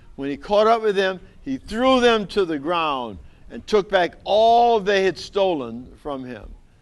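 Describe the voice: Lively intonation over plain reading aloud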